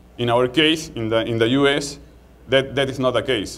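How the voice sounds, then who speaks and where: With audible room echo around him, a man in a Peruvian accent speaks at a medium pitch with fairly even intonation. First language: Spanish. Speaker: market research executive. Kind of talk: conference talk. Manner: halting, many repetitions.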